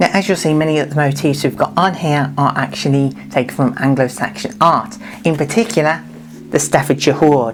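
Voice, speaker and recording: This woman's pitch is very deep and low, and she talks at a fairly quick pace with lively intonation and very even loudness. Noticeable background noise runs underneath. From Birmingham, England. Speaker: DIY leather crafter and costume maker. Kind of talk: tutorial; casual chat to camera. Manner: animated.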